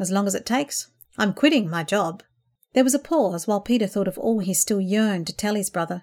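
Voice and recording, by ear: With quiet all around, the speaker reads aloud in a natural voice.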